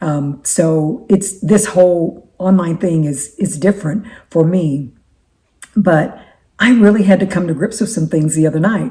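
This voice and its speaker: Speaking at a fairly slow pace, a woman uses a fairly low pitch with ordinary pitch variation, her tone dark and mellow and somewhat breathy. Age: 60s. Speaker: faith-based life coach and YouTuber. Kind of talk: casual talk to camera. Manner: halting, with frequent repetitions.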